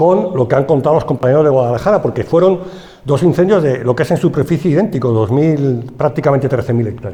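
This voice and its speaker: Very fast and fairly high in pitch, a man speaks with a Madrid accent over noticeable background noise. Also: ordinary pitch variation. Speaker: forestry engineer. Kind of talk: conference talk. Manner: halting.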